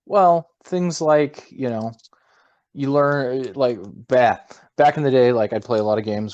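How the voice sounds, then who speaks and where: A man speaks with a Minnesota accent and ordinary pitch variation. The background is quiet. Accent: Minnesotan American. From Minnesota, US. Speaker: gamer, podcast co-host. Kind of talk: casual chat.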